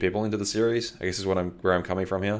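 The very clean recording has a silent background. A man speaks in a very deep, low pitch with monotone, flat intonation. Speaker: podcast host. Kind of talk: casual chat.

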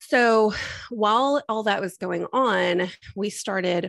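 With an American accent and vocal fry, a woman talks at a medium pitch with ordinary pitch variation. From Texas. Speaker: IVF patient and mother sharing her story. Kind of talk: interview testimony.

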